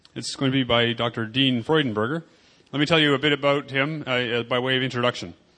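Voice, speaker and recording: Over a quiet background, a man with a medium pitch and a bright, sharp tone speaks at a fairly quick pace with fairly even intonation. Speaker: conference session host. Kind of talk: introducing a speaker.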